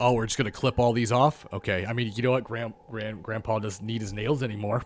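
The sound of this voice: The intonation here is fairly even. It comes in an unforced reading voice.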